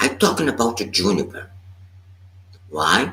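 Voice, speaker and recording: A man with a Portuguese accent at a moderate pace. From Brazil. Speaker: meditation teacher. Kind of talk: dharma talk. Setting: live stream. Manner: halting.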